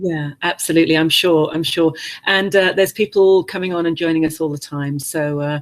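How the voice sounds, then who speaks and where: Her English accent comes through as this woman speaks at a fairly quick pace. Her pitch is fairly low and her intonation fairly even. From England. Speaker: webinar host, business coach. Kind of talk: webinar interview. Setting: online video webinar. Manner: hesitant, many fillers.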